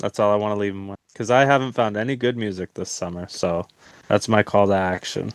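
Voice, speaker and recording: A man's unremarkable speaking voice, fairly low in pitch with ordinary pitch variation, at a fairly quick pace, in a dry, close sound with no echo. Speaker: podcast co-host. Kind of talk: casual chat.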